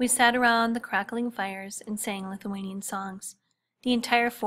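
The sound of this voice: Quiet background behind an unforced reading voice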